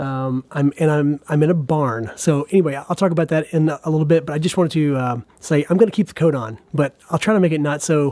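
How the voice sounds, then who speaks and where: Speaking at a fairly quick pace, a man with a fairly high pitch has a dark, mellow tone in a dry, close sound with no echo. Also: ordinary pitch variation, hardly any pauses. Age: 40s. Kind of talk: casual monologue podcast. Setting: in a barn, live recording. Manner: halting, many fillers and repetitions.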